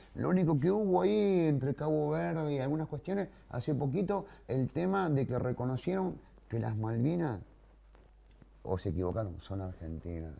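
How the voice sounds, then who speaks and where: A man's medium-pitched voice, dark and mellow in tone, at a moderate pace with very wide pitch swings. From Greater Buenos Aires, Argentina. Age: 60s. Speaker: war veteran. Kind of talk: interview testimony.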